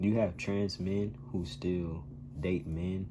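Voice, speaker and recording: A man's very slow, somewhat breathy speech, dark and mellow in tone, with ordinary pitch variation and audible room echo. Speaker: vlogger sharing transition journey. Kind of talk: casual vlog monologue.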